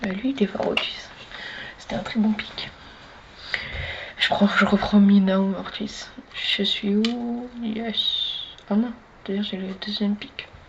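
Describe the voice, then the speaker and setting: A soft-spoken voice moves at a very slow pace with long, frequent pauses against noticeable background noise. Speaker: gaming streamer. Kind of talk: gameplay commentary. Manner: animated.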